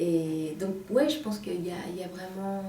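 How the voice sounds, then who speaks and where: With noticeable background noise and audible room echo, a woman speaks at a fairly low pitch with fairly even intonation. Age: 40s. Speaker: novelist. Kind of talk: interview.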